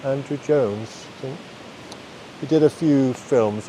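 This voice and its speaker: Noticeable background noise surrounds a man with a Danish accent who talks at a moderate pace. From Denmark. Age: 50s. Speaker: podcast host. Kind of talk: unscripted monologue. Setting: outdoors in a forest. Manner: rambling, self-correcting.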